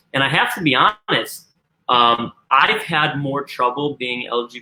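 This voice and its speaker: A man speaks with a Midwestern American accent at medium pitch. His pitch varies in an ordinary way. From US Midwest, Missouri near St. Louis. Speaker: suicide prevention and LGBT advocate. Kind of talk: live interview.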